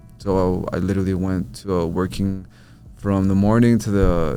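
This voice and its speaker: A man with an American accent speaks at a moderate pace in a very deep, low pitch with ordinary pitch variation. Music plays in the background, and room echo is audible. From New Mexico, US (Albuquerque). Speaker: social media content creator. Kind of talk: podcast interview. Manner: casual, filler-heavy.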